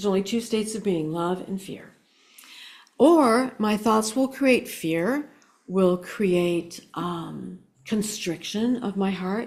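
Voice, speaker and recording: A woman's very slow speech at a medium pitch with ordinary pitch variation. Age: 60s. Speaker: spiritual speaker and psychic. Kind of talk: inspirational talk.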